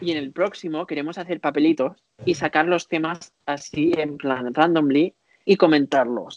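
A man with a fairly high pitch speaks at a fairly slow pace in an unremarkable speaking voice, with fairly even intonation. The sound is dry and close, with no echo. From Spain (Barcelona, Catalonia). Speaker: podcast co-host, dancer. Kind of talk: casual chat.

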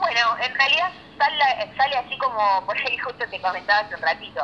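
A woman's pitch swings very widely at a fairly quick pace while noticeable background noise carries on behind her. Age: 30s. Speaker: DJ. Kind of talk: interview.

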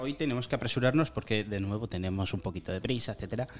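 This man's intonation is lively, and he talks very fast. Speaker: student radio podcast host. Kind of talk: casual chat.

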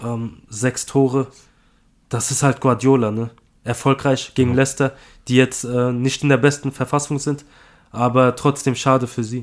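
A man at medium pitch speaks at a moderate pace in a flat monotone, with long, frequent pauses. The recording is very clean with a silent background. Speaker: football podcast co-host. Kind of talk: casual chat.

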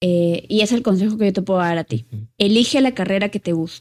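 Using a normal speaking voice, a woman talks at a fairly quick pace and medium pitch with ordinary pitch variation. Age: 20s. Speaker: podcast co-host. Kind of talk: casual chat. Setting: living room at home.

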